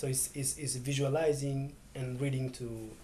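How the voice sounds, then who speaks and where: A man's voice has a dark, mellow tone, medium pitch and a somewhat breathy quality. Audible room echo surrounds it. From Ethiopia, Oromia. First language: Oromo. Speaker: poet and slow food worker. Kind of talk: interview. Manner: halting, with frequent repetitions.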